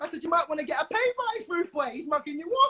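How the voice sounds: This man's voice sits extremely high in pitch, with a bright, sharp tone. He talks fast, his pitch swinging widely.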